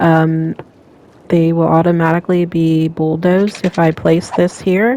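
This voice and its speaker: Mumbling at a fairly slow pace, a woman with a fairly low pitch speaks over noticeable background noise. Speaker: gaming channel host. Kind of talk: gameplay commentary. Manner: hesitant with fillers.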